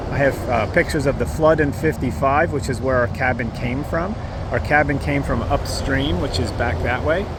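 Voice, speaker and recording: A man with an American accent talks at a moderate pace with very wide pitch swings, amid audible room echo and noticeable background noise. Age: 60s. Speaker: hiker vlogger. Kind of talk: casual vlog monologue. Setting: outdoors near a highway. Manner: halting, with fillers and repeats.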